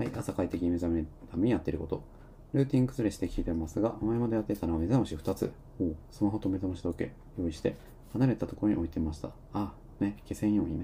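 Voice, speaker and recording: A man speaks at a very fast pace in a very deep, low pitch with a dark, mellow tone. His voice is somewhat breathy and shows ordinary pitch variation. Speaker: live-stream talk host. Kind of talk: casual live talk reading listener comments. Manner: filler-heavy, rambling delivery.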